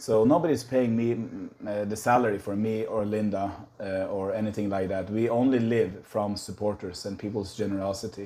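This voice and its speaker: Hardly pausing, a man talks at a moderate pace. His tone is dark and mellow, with fairly even intonation. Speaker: missionary. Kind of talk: casual vlog. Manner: hesitant, many fillers.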